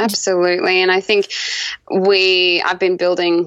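In an Australian accent, a woman speaks at a medium pitch with monotone, flat intonation.

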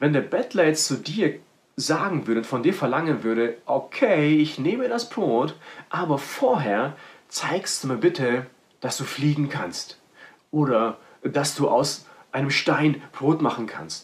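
A man speaks at a very slow pace. His pitch is fairly high and his intonation lively. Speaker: preacher. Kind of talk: sermon. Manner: animated; direct, personal address to listeners.

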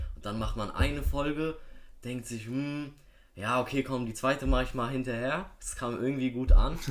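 Here is an unremarkable speaking voice from a man at medium pitch, with fairly even intonation and a moderate pace. His loudness swings widely. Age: young. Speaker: podcast guest. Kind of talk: casual chat.

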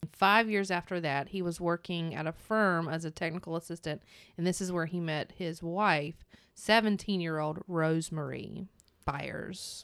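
A woman's fairly low voice with a North Carolina accent and fairly even intonation at a moderate pace, in a very clean recording with a silent background. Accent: Southern US (North Carolina). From US South, North Carolina. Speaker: true crime podcast co-host. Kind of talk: casual chat.

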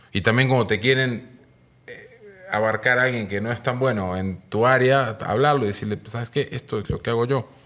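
With a normal speaking voice, a man talks at a moderate pace, his intonation fairly even but his loudness swinging widely. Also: medium pitch for a man. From Argentina, Mar del Plata. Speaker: music manager. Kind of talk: casual chat.

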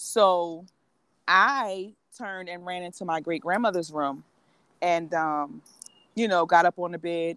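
A woman with a New Jersey accent, fairly low in pitch, at a fairly slow pace, in a dry, close sound with no echo. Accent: New Jersey, urban East Coast. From New Jersey, Atlantic City. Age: 40s. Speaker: women's coach. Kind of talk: casual interview.

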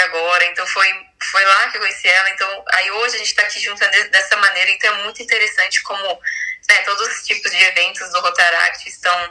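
Speaking at a moderate pace, a woman uses a medium pitch and monotone, flat intonation, with noticeable background noise behind her. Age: 20s. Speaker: club president. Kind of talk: casual chat.

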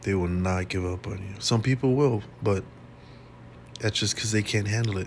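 A somewhat breathy man with a fairly low voice speaks at a moderate pace, leaving long, frequent pauses, with ordinary pitch variation. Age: 30s. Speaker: podcast host. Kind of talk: casual monologue. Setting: hospital room. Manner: casual and rambling.

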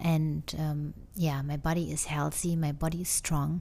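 Speaking with a German accent, a woman has a very deep, low pitch and a dark, mellow tone that is somewhat breathy, with fairly even intonation. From Germany. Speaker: podcast host, wellness coach. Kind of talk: casual monologue. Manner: hesitant, many fillers.

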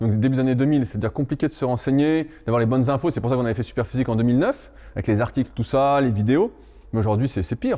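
A man's dark, mellow voice at a very fast pace, with very even loudness. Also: medium pitch for a man, ordinary pitch variation. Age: 30s. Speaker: strength training coach. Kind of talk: casual chat.

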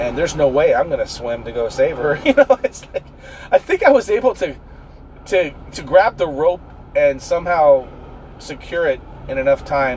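The speech moves at a moderate pace with long, frequent pauses. Noticeable background noise runs underneath. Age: 40s. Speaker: podcast host. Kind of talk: casual monologue.

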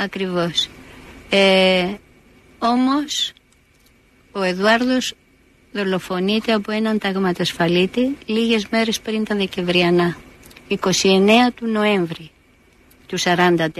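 A woman talks at a very slow pace with long, frequent pauses and ordinary pitch variation. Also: medium pitch for a woman. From Greece, Athens. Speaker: painter and retired art teacher. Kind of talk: personal testimony.

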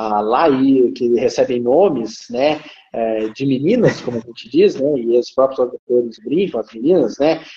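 An unremarkable speaking voice shows ordinary pitch variation. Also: man, medium pitch for a man, fairly slow pace. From Brazil, interior of São Paulo state (Ribeirão Preto). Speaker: lawyer and law professor. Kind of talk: live interview. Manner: formal.

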